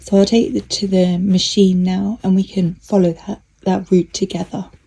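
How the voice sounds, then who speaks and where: The speaker keeps a moderate pace and a monotone, flat intonation. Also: woman. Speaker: sewing youtuber. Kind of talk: tutorial. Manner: soft-spoken.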